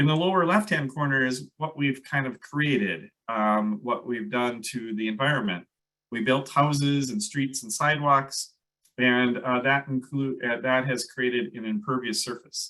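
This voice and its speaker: In a Minnesotan accent, a man talks at a moderate pace in a medium pitch, his tone bright and sharp and his pitch variation ordinary. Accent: Minnesota. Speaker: landscape ecologist. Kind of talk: presentation. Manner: hesitant, many fillers.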